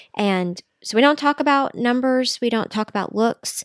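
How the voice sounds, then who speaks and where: A woman's voice with a Southern US accent, dry and close without echo, on a very clean recording with a silent background. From Middle Tennessee. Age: 40s. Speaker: dietitian and mother. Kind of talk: interview.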